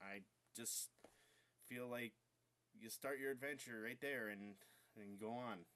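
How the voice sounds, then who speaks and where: Keeping a moderate pace, a man talks with fairly even intonation. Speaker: gaming youtuber. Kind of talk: casual vlog. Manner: halting, filler words.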